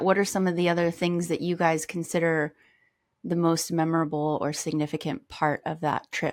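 At a moderate pace and a fairly low pitch, a woman uses an unremarkable speaking voice with fairly even intonation in a very clean recording with a silent background. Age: 30s. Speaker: podcast host. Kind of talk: casual chat.

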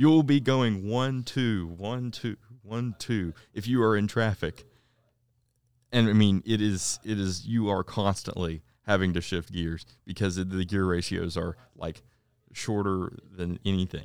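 A man with an unremarkable speaking voice, ordinary pitch variation and a fairly slow pace, on a very clean recording with a silent background. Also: fairly low pitch for a man. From US South. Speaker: podcast co-host. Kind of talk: casual chat.

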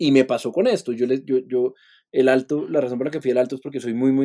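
A man with a medium-pitched voice speaks at a fairly quick pace, his tone dark and mellow and his intonation fairly even. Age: 30s. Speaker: musician. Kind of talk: interview. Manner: halting, repeats words.

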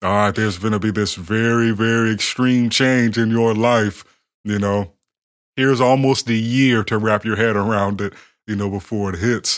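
A man talks at a moderate pace. His pitch is fairly low and his intonation fairly even. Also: very clean recording, silent background. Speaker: podcast co-host. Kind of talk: casual chat.

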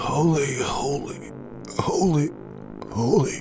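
A raspy, shaky put-on character voice at a low-to-middle pitch crawls along at a very slow pace amid noticeable background noise. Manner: mumbling repetitively.

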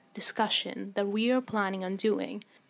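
Recorded very cleanly against a silent background, a woman has an ordinary speaking voice at a medium pitch. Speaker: interviewer. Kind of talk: interview questions.

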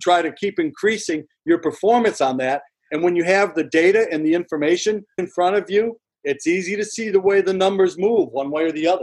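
A man speaks at a high pitch and a fairly quick pace. His pitch varies an ordinary amount. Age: 60s. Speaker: former pro baseball pitcher and broadcaster. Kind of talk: casual interview.

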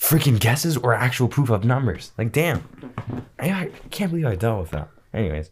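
Medium-pitched male voice with vocal fry, very wide pitch swings and a fairly quick pace. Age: 20s. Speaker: podcast co-host. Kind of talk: casual chat. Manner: animated.

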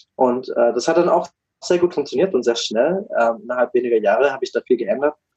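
The sound is dry and close with no echo as a man talks fairly quickly. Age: 20s. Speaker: business consultant for coaches. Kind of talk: casual interview.

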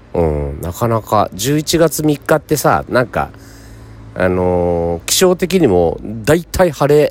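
Speaking at a fairly slow pace, a man with a medium-pitched voice makes very wide swings in pitch. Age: 50s. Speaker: radio host. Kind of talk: casual chat. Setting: hot spring inn.

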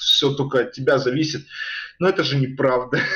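Noticeable background noise sits behind this man's voice. He talks very fast at a medium pitch. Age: 20s. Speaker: rapper. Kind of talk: casual chat.

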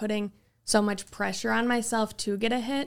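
On a very clean recording with a silent background, a woman talks at a moderate pace and medium pitch with monotone, flat intonation. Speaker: college softball player. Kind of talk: interview.

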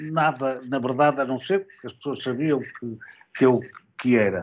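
This man speaks at a fairly slow pace in a plain, everyday voice, with a fairly high pitch and ordinary pitch variation. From Portugal, Porto. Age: 60s. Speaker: sports journalist and commentator. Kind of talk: interview.

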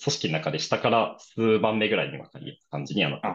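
Speaking at a fairly quick pace, a man with a medium pitch and vocal fry swings very widely in pitch. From Japan, Aichi. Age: 20s. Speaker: startup founder, fitness gym entrepreneur. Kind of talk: podcast interview.

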